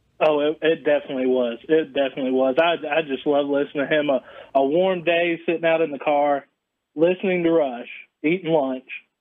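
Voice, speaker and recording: A man talks at a fairly quick pace in a normal speaking voice, with a fairly high pitch and fairly even intonation. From central North Carolina. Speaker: caller. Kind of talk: casual chat.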